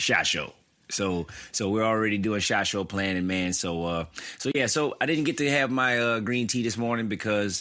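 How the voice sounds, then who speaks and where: A man in a Louisiana accent speaks at a moderate pace with medium pitch. His tone is bright and sharp, with ordinary pitch variation. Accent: Southern US (Louisiana). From US South, Opelousas, Louisiana. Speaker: gun media personality. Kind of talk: podcast interview.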